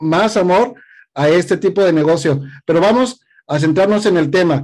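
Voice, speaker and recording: This man has a high-pitched voice with ordinary pitch variation. The background is quiet. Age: 40s. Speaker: podcast host. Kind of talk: interview.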